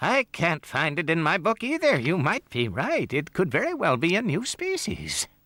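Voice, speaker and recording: A man puts on a cartoonish character voice with a high pitch. He talks at a moderate pace with hardly any pauses in a very clean recording with a silent background. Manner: distracted, pedantic.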